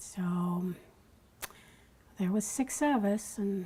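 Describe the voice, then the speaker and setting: Very slowly, a woman speaks at a medium pitch in a dark, mellow, somewhat breathy tone. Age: 70s. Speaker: grandmother interviewed about family memories. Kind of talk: oral history interview.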